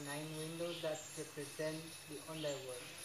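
Noticeable background noise sits behind a man speaking at a very slow pace. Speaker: tour guide. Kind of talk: guided tour explanation. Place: tunnel cave. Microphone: camera far.

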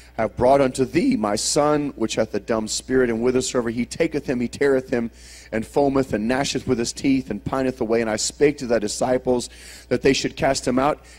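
The pace is fairly quick as a man talks. His intonation holds fairly even. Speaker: preacher. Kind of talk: sermon. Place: church. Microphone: handheld.

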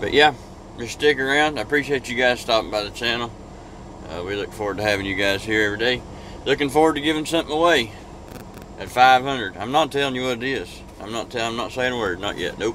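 A man at a very fast pace with ordinary pitch variation, light background noise and a dry sound with no echo. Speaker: truck driver vlogger. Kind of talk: casual vlog chat. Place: car. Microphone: phone near.

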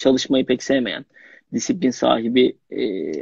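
Against a quiet background, a man speaks at a fairly slow pace. The sound is dry, with no echo. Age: young. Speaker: young actor. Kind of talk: casual interview. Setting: Instagram live video call. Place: home room.

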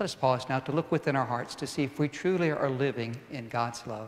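The speaker is a man. Ordinary variation marks his pitch. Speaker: priest leading mass. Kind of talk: liturgical welcome and greeting. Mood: warm, calm. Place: church.

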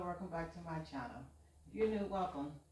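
Heard with audible room echo, a woman speaks in a fairly low pitch with ordinary pitch variation. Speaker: vlogger. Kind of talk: casual vlog chat. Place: home room.

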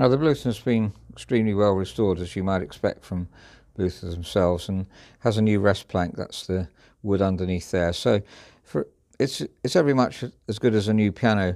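A man talks at a fairly quick pace in a fairly low pitch, with a dark, mellow tone and ordinary pitch variation. The background is quiet. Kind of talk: product walkthrough commentary. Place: shop. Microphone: phone near.

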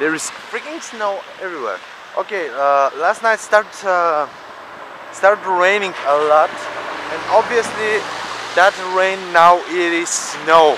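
A man speaks at a very slow pace. The sound is dry with no echo, though background noise is noticeable. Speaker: vlogger. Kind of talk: casual vlog chat. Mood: grumbling, then upbeat. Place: street. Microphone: phone near.

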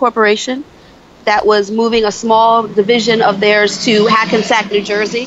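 Over light background noise, a woman talks at a fairly quick pace in a dry recording with no echo. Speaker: podcast guest. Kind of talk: interview answer. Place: street.

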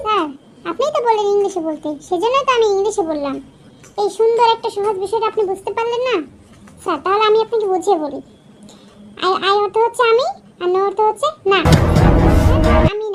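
A cartoonish character voice delivered at a fairly quick pace. The pitch varies in an ordinary way. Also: woman, extremely high pitch for a woman. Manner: confident, matter-of-fact.

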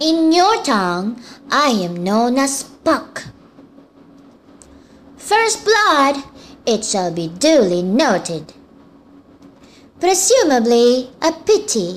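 In a put-on character voice, a woman speaks with high pitch and very wide pitch swings at a very slow pace, leaving long, frequent pauses. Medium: voice reel.

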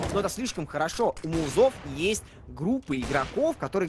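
Lively intonation from a man, with noticeable background noise. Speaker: esports commentator. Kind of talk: live esports commentary.

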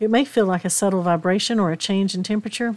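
On a very clean recording with a silent background, a woman with a Southern US accent speaks at a medium pitch in a warm tone. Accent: Southern US drawl. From East Tennessee, southern US. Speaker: podcast host, spiritual practitioner. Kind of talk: spiritual podcast talk. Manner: warm, hospitable.

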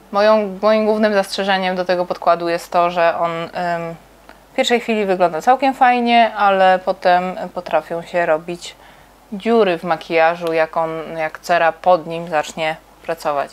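The woman keeps a moderate pace, and her pitch moves in a normal way. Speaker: makeup channel host. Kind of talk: makeup tutorial chat. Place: home room. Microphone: lapel.

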